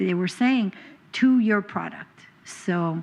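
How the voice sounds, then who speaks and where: Speaking at a fairly slow pace, a woman with an American accent has an unremarkable speaking voice at medium pitch. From New York. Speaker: trade expert speaker. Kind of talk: conference presentation.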